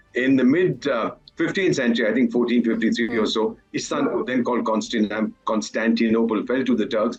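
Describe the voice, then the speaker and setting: Against noticeable background noise, a man speaks at a medium pitch with lively intonation. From India. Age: 70s. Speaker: retired diplomat. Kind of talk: TV panel discussion. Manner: animated.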